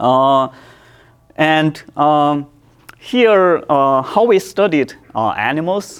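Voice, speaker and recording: A man speaks with a Chinese accent. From China. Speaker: professor. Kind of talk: lecture. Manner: halting, many fillers and repetitions.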